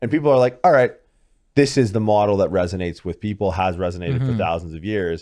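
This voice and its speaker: A man with a fairly low pitch speaks in an unremarkable speaking voice with ordinary pitch variation, on a very clean recording with a silent background. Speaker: podcast host, doctor. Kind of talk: casual podcast conversation.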